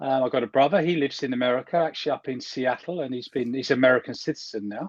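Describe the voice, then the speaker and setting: Speaking very fast, a man with an English accent uses a medium pitch. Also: ordinary pitch variation. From southern England, Kingston upon Thames near London. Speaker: priest. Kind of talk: interview. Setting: video call from home.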